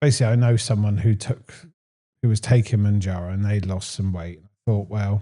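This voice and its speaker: Against a quiet background, a man talks at a fairly quick pace in a fairly low pitch, his dark, mellow tone somewhat breathy and his intonation fairly even. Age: 30s. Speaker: weight loss interviewee. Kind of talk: casual interview.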